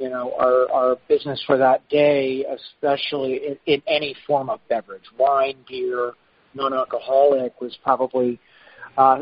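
A man speaks at medium pitch and a moderate pace. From West Texas (Lubbock). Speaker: chef and restaurant owner. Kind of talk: interview.

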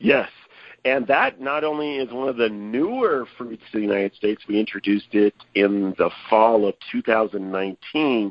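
With an ordinary speaking voice, a man talks at a fairly slow pace, his medium pitch showing ordinary variation. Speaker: produce company representative. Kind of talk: casual interview.

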